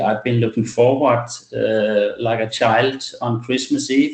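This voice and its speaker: A man at a fairly slow pace with fairly even intonation. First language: not English. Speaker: medical doctor presenting a webinar. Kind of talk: webinar presentation. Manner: halting, many fillers.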